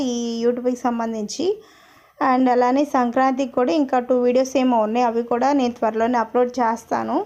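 With monotone, flat intonation, a woman talks in a high pitch. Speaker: travel vlogger. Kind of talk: vlog voice-over narration. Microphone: phone mic recording voice-over.

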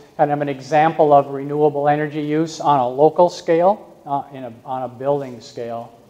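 The speech has fairly even intonation at a moderate pace. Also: man. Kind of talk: lecture. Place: hall.

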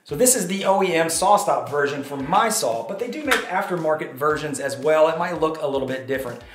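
A man speaks very rapidly, with noticeable noise in the background. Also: hardly any pauses. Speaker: woodworking channel host. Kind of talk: shop tour commentary. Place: garage.

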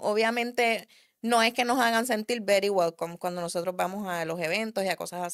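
A woman talks at a fairly quick pace in a Puerto Rican accent. The background is quiet. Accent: Puerto Rican accent, kept. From Puerto Rico, raised in the US from early childhood. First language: English (speaking Spanish). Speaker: car enthusiast and drag racer; podcast guest. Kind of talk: casual interview chat; interview answer. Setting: studio. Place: studio. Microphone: studio mic.

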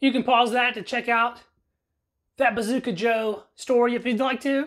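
Over a quiet background, a woman with an American accent talks at a fairly quick pace in a high pitch. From US South, Georgia. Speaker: YouTube food reviewer. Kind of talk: product review. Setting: at a desk, filming alone.

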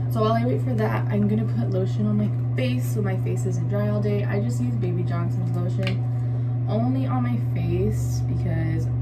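Loud background noise accompanies a woman talking at a moderate pace. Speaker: beauty vlogger. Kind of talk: casual tutorial vlog chat. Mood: relaxed, lightly amused. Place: bathroom. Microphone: phone near.

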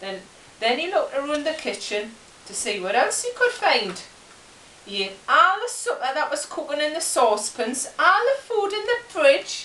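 With a Geordie accent, a raised, projected voice moves at a moderate pace through very wide pitch swings and big swings in loudness, with audible room echo and light background noise. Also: woman. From Newcastle, England. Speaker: storyteller. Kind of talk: comic children's story reading. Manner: halting, chatty, dialect-heavy. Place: home room. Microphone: camera far.

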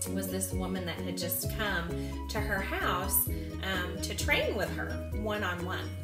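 A woman talks over loud background music. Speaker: sales consultant telling her story. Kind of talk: casual storytelling to camera. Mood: lively, humorous. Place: home room.

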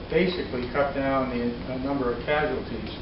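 A man is speaking amid noticeable background noise. Audible room echo can also be heard. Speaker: presenter. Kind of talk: lecture. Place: meeting room. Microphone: camera far.

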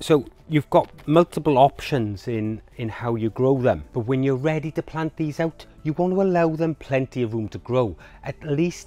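A man's voice with ordinary pitch variation, dry sound with no echo. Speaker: presenter. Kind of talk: tutorial. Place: garden.

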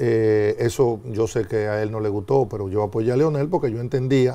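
This man speaks at a moderate pace in a dark, mellow tone with ordinary pitch variation. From Dominican Republic. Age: 60s. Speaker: former government minister. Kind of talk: TV interview. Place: studio. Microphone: lapel.

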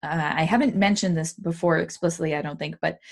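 Against a quiet background, a woman speaks very fast with a fairly low pitch and vocal fry. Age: 30s. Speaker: podcast host. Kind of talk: interview. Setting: home recording studio.

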